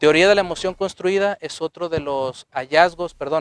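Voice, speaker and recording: Recorded dry and close with no echo, a man speaks at a fairly high pitch with fairly even intonation. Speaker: psychologist and author giving a lecture. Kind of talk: lecture. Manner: fast.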